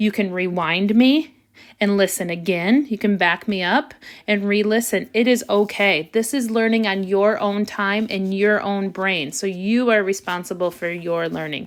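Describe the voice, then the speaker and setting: Heard in a very clean recording with a silent background, a woman with a normal speaking voice talks at a moderate pace in a medium pitch with ordinary pitch variation. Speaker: elementary school teacher. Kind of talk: math tutorial video.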